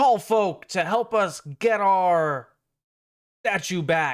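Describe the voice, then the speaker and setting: Using a put-on character voice, a man speaks high and very slowly. The recording is very clean, its background silent. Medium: actual play. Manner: hesitant, timid.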